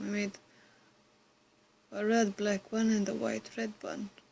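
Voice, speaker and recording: A woman whispers at a moderate pace, sounding somewhat breathy. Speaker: vlogger. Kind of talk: casual Q&A vlog. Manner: whispering.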